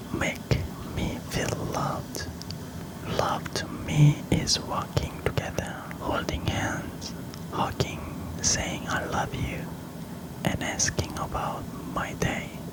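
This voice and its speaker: In a whisper, someone speaks at a very slow pace with long, frequent pauses, over noticeable background noise. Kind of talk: whispered personal storytime. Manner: whispered; soft-spoken.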